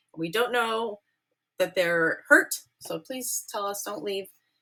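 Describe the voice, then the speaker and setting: An ordinary speaking voice from a woman, medium-pitched, with lively intonation at a fairly slow pace. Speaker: ceramics teacher. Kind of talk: classroom safety briefing. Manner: casual, upbeat.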